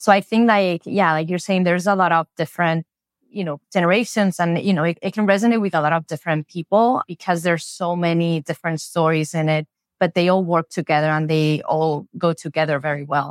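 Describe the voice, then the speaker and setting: On a very clean recording with a silent background, a woman with a fairly low pitch talks at a fairly quick pace with ordinary pitch variation. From Spain. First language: Spanish. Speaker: B2B marketing executive. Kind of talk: casual interview chat.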